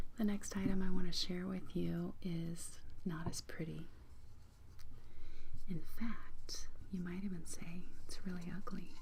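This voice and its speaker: The speaker is soft-spoken and goes at a fairly slow pace. Long pauses come often. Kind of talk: ASMR soft-spoken storytelling.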